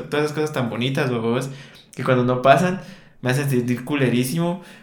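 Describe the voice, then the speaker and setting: Very fast male speech cuts through noticeable background noise. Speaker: podcast co-host. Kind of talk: casual chat.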